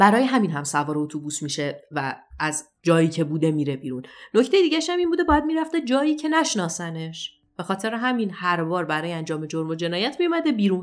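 Talking at a very fast pace with hardly any pauses, a woman uses a fairly low pitch that moves in very wide swings. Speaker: true crime podcaster. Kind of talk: storytelling narration.

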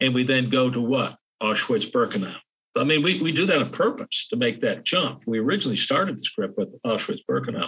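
A bright, sharp tone with an American accent, at a fairly quick pace, with very even loudness and very wide pitch swings. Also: man, medium pitch for a man. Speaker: historian and author. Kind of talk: interview conversation. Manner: hesitant, many fillers.

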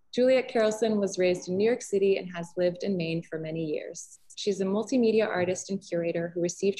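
A woman speaks at a very fast pace with a dark, mellow tone and ordinary pitch variation. Her voice is somewhat breathy, and the background is quiet. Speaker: gallery host. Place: hall. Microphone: webcam.

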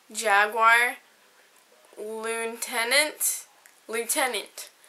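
A woman speaks with an American accent at a very slow pace. Her voice is fairly high-pitched, bright and sharp in tone, with monotone, flat intonation. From United States. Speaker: vlogger. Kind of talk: reading aloud. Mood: playful, smiling. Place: home room. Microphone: webcam.

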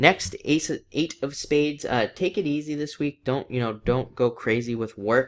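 Lively intonation from a man's voice. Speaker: tarot reader. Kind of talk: tarot reading vlog talk. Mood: upbeat, encouraging. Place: home room. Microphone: webcam.

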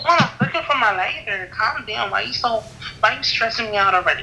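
Over faint background noise, a woman talks at a fairly quick pace with a fairly high pitch, lively intonation, a bright, sharp tone and vocal fry.

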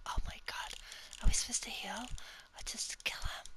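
Whispering at a fairly slow pace. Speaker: ASMR creator. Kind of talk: ASMR gaming commentary. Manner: whispered.

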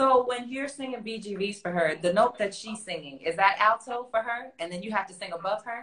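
An animated voice talks at a fairly quick pace with hardly any pauses, ordinary pitch variation and big swings in loudness. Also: woman, fairly high pitch for a woman. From US South (Florida), Jamaican heritage. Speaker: vocal coach and interviewer; interviewer, vocal coach. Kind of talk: casual interview. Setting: online live stream. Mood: relaxed, curious. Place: home room.

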